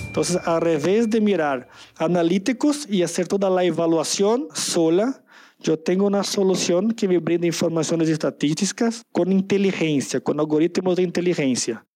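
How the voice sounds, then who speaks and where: Speaking at a moderate pace with a Brazilian accent, a man uses a high, dark and mellow voice with ordinary pitch variation and very even loudness. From Brazil, São Paulo. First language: Portuguese (speaking Spanish). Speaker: tech presales manager. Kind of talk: interview.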